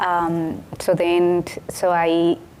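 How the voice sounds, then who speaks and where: This woman speaks with a Colombian accent. Her pitch is fairly low. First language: Spanish. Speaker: city council member. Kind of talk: panel discussion.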